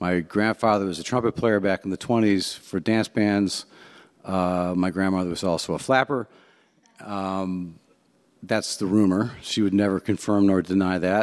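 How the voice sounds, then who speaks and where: In an American accent, a man with an unremarkable speaking voice talks at a moderate pace, his fairly low pitch held in fairly even intonation. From US Midwest, Cleveland, Ohio. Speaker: jazz pianist and composer. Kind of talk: talk to a luncheon audience. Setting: jazz club with live audience.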